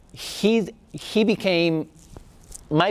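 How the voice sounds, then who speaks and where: A man talks with a Spanish accent. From Spain. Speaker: artist and art teacher. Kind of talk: talk to a class.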